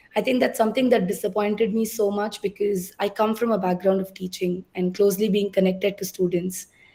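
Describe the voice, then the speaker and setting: Somewhat breathy and at a medium pitch, a woman talks at a fairly quick pace with hardly any pauses and monotone, flat intonation. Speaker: entrepreneur and alumna speaker. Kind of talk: panel talk.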